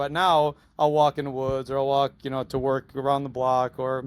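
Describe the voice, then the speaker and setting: A man with a fairly high pitch is recorded very cleanly against a silent background, with a dry, close sound and no echo. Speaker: school superintendent. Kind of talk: podcast interview. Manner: loud; animated.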